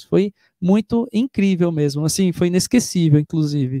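A man speaks with a high pitch and a dark, mellow tone. The sound is dry and close, with no echo. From Brazil, Itu (São Paulo state). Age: 30s. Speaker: singer and singing teacher. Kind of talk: live stream interview. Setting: online live stream.

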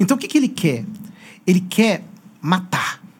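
A man's high-pitched voice with very wide pitch swings at a moderate pace. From Brazil, São Paulo state (Piracicaba). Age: 40s. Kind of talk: interview conversation.

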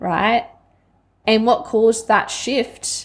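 A woman speaks in an Australian accent at a fairly slow pace. Her pitch is fairly high. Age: 20s. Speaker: podcast host, life coach. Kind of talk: personal monologue.

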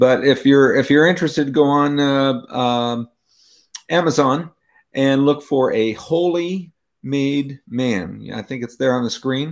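A man's fairly high voice with an American accent, very slow pace and ordinary pitch variation. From California. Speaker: author. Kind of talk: panel discussion. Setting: video call.

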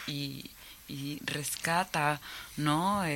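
This is a woman's voice. Her pitch variation is ordinary. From Mexico, Cancún (Yucatán peninsula). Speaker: planetarium director and filmmaker. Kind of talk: radio interview.

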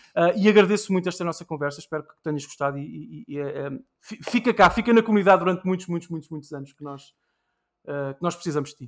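On a very clean recording with a silent background, a man talks very fast in a high pitch with big swings in loudness. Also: ordinary pitch variation. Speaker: podcast host. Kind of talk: casual chat.

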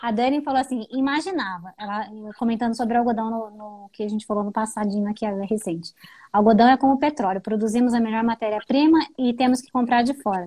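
The voice is somewhat breathy, with a dark, mellow tone. It moves at a fairly quick pace with ordinary pitch variation. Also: woman. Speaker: live stream host. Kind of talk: interview. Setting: live stream.

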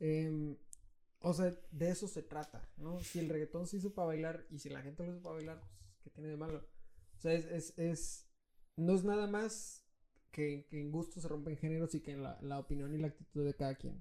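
The voice has a dark, mellow tone and fairly even intonation, moving at a moderate pace with big swings in loudness. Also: man, fairly high pitch for a man. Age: 20s. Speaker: musician and music teacher. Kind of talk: casual chat. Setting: home.

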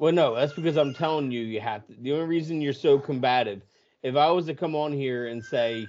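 This man has a normal speaking voice, fairly high in pitch. He moves at a fairly quick pace. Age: 30s. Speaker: podcast co-host. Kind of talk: casual chat.

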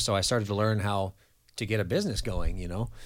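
A man's fairly low voice at a very fast pace, on a very clean recording with a silent background. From California Central Coast. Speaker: recovery ministry director. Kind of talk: testimony.

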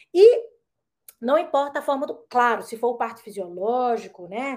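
A woman's high-pitched voice comes at a fairly slow pace. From Brazil, Brasília. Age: 40s. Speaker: traditional midwife. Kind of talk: casual chat.

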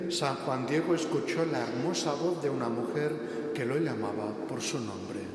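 Over noticeable background noise, a man talks at a fairly slow pace in a solemn tone with ordinary pitch variation. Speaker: narrator in a church role-play. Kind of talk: dramatic narration of a sacred story, role-play in church. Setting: church. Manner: solemn, storytelling, with rhetorical questions.

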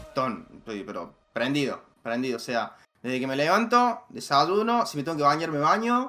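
Over music in the background, the voice moves at a moderate pace with very wide pitch swings and big swings in loudness. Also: man. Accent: Rioplatense. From Argentina. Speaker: motorsport commentator. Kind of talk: casual chat. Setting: voice call.

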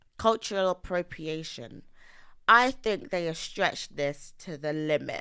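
A woman with a London accent speaks fairly slowly at a fairly low pitch, her tone bright and sharp, her intonation lively, her loudness swinging widely, on a very clean recording with a silent background. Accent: London English (Multicultural London). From East London, Nigerian heritage. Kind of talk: casual chat.

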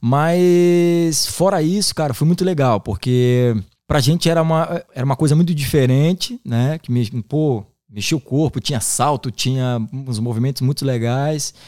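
The sound is dry and close, with no echo. A man with a fairly high pitch and a dark, mellow tone talks at a fairly slow pace. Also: ordinary pitch variation, very clean recording, silent background. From Santa Catarina, Brazil (Garopaba area). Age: 30s. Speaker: capoeira teacher and musician. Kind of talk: casual interview.

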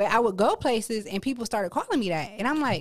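A woman in an American accent, a plain, everyday voice with fairly high pitch, lively intonation and a fairly quick pace, on a very clean recording with a silent background. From Akron, Ohio. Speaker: poet and dental hygienist. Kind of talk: casual interview chat.

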